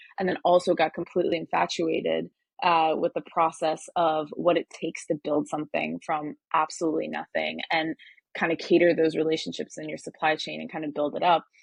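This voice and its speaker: This woman has an American accent and talks at a fairly quick pace. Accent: sounds American. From Turkey (Ankara). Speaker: hardware startup advisor, engineer. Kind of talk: interview. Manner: many fillers (um, uh).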